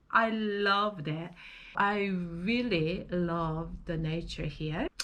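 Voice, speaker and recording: Audible room echo surrounds a woman with a non-native accent who speaks at a very slow pace in a bright, sharp tone with ordinary pitch variation. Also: fairly low pitch for a woman. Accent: non-native English speaker. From South Korea. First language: Korean. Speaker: vlogger. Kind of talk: personal vlog monologue. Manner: halting, with fillers.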